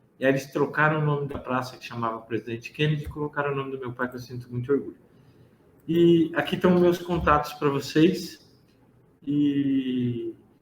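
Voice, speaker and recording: A man speaks with a fairly high, somewhat breathy voice and ordinary pitch variation. His pace is moderate, and his loudness swings widely. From interior of São Paulo state, Brazil. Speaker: pharmacist. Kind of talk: lecture.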